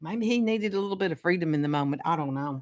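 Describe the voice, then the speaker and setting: The speaker talks in a Southern US accent with lively intonation. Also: woman. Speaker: astrologer. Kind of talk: casual talk on astrology. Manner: halting, repeats words.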